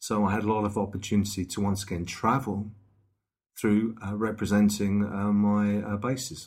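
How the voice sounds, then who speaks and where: A man speaks at a moderate pace. His intonation stays flat and monotone. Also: fairly low pitch for a man. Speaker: radio broadcaster and DJ. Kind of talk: casual interview chat. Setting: in person, face to face at a table. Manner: hesitant, many fillers.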